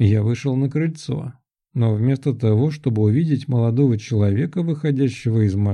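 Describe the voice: The speaker does plain reading aloud, with ordinary pitch variation and a quiet background.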